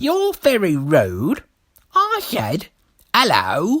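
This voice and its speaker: Someone puts on a nasal character voice. The delivery is very slow. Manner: slurred; rude, menacing.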